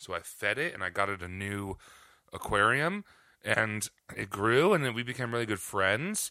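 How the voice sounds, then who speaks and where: A man's fairly low voice at a moderate pace, an ordinary speaking voice with ordinary pitch variation. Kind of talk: casual chat. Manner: playful, laughing.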